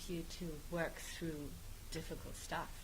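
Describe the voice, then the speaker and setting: A woman with a German accent speaks at a fairly slow pace, with audible room echo around her. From Germany. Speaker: guest, radio host. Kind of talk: casual interview chat. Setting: studio, live on Facebook.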